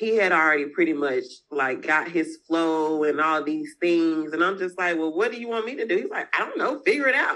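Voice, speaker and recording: With a Southern US accent, a woman speaks in a bright, sharp tone marked by very wide pitch swings. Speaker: business owner, freight agent. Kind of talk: interview.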